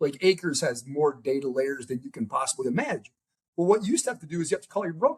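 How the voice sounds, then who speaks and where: Talking very fast with an American accent, a man uses a fairly high pitch with very wide swings. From US Midwest, Chicago. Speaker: venture capital investor and startup founder. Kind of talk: podcast interview. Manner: animated, casual.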